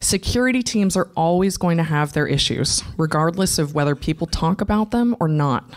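A woman with an ordinary speaking voice talks at a moderate pace and a fairly low pitch, with lively intonation. She leaves hardly any pauses, over a quiet background. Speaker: conference speaker. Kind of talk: conference talk. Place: stage. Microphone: handheld.

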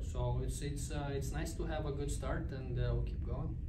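A man at a moderate pace, heavy background noise all around. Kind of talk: interview answer. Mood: calm, content after win. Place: hall. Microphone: podium.

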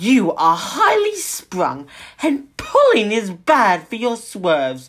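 At a very slow pace, someone talks in a put-on character voice. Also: female-sounding voice, fairly high pitch for a woman. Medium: read story. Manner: boastful, indignant.

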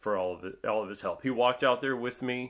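A man is speaking. The background is quiet. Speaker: hunter vlogger. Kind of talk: casual vlog chat. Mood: grateful, relaxed. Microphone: phone near.

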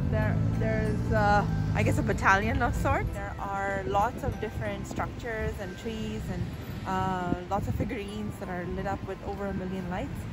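A woman at a moderate pace over loud music in the background. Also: dry sound with no echo. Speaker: travel vlogger. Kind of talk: casual vlog chat. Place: street. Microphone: phone near.

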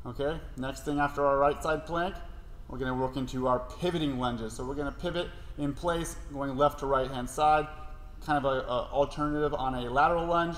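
Audible room echo surrounds this man's voice. He talks at a fairly quick pace. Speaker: fitness coach. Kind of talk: tutorial. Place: gym.

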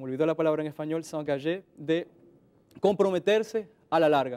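The man's voice sits at a fairly high pitch. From Dominican Republic. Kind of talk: interview. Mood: calm, friendly, smiling. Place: studio. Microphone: lapel.

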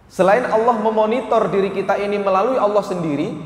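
A man is speaking. Room echo is audible around him. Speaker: religious teacher. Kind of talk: sermon. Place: hall.

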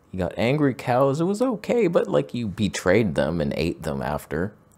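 With music in the background, a man speaks at a moderate pace while his pitch swings very widely. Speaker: photography show host. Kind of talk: comedic commentary. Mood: mock-exasperated sarcastic. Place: home room. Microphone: studio mic.

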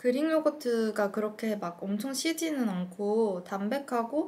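Her pace is fairly slow. The woman's pitch rises and falls very widely. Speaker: food vlogger. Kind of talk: casual vlog chat. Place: home room.

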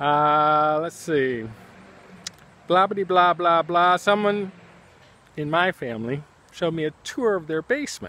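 Long, frequent pauses break up a man's bright, sharp, high-pitched voice, which has ordinary pitch variation and a dry sound with no echo. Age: 60s. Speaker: artist and teacher thanking friends on his channel. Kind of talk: casual video message. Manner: relaxed, hesitant with many fillers. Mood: warm, amused. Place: garden. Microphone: phone near.

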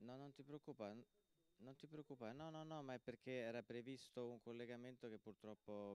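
A man at a moderate pace with fairly even intonation, long and frequent pauses, and a dry sound with no echo. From Italy. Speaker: festival moderator. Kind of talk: Q&A moderation. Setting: stage with audience. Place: hall.

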